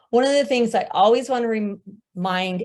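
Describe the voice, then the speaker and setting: With an American accent and ordinary pitch variation, a woman speaks on a very clean recording with a silent background. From US Midwest, Omaha, Nebraska. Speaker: grant writing specialist. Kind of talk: presentation.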